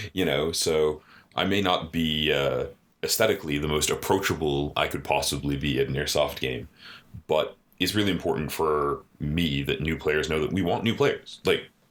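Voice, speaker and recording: This man's voice is very deep and low, with vocal fry. He speaks at a moderate pace with ordinary pitch variation. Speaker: airsoft podcast host. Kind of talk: casual chat.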